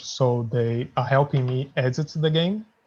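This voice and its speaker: A man's somewhat breathy voice with a non-native accent, a medium pitch and ordinary pitch variation, at a fairly slow pace against a quiet background. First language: not English. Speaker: indie game developer. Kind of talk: interview.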